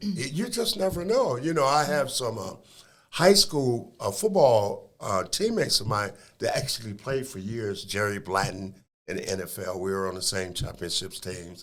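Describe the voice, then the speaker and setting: The speaker has an American accent and a moderate pace. The pitch swings very widely. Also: man, medium pitch for a man. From Toledo, Ohio (US Midwest). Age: 60s. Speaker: former professional basketball player. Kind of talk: podcast interview. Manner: animated.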